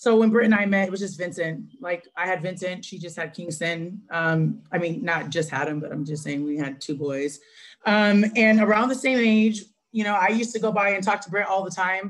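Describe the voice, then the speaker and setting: Her voice sits at a medium pitch, and this woman uses ordinary pitch variation. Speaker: direct sales team member. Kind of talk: testimony. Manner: fast.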